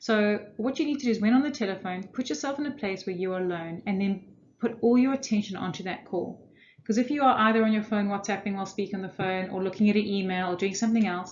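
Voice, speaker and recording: Speech comes at a very fast pace with ordinary pitch variation and audible room echo. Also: woman. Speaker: corporate trainer. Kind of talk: lecture.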